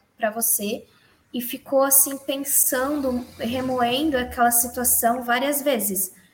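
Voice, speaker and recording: A woman at a high pitch, with ordinary pitch variation. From Santa Catarina, Brazil. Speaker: church youth member. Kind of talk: casual religious discussion.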